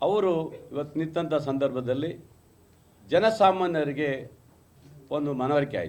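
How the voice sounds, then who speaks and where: With audible room echo around him, a man talks at a fairly high pitch with ordinary pitch variation. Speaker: politician, party spokesperson. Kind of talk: press conference. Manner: combative, emphatic.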